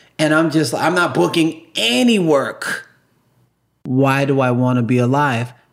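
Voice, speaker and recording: A man's fairly high, animated voice at a fairly slow pace, with ordinary pitch variation and very even loudness. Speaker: guest sharing recovery story. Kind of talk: interview testimony.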